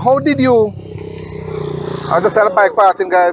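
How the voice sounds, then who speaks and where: Noticeable background noise fills the clip. A man talks with very wide swings in pitch. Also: dry, close sound with no echo. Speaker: vlogger. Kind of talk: interview.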